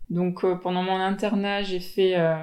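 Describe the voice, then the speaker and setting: A woman with a normal speaking voice and medium pitch speaks at a fairly slow pace. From Tahiti. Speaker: general practitioner. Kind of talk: interview.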